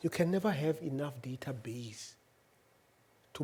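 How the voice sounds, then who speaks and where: A man with a South African accent speaks at a fairly slow pace in a somewhat breathy voice. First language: Venda. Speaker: university head and UN official. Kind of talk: public lecture. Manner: halting, many fillers.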